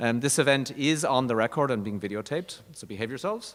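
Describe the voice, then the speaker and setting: An Irish-accented man races along at a very fast pace with lively intonation. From Ireland. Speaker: university dean. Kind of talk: formal introduction.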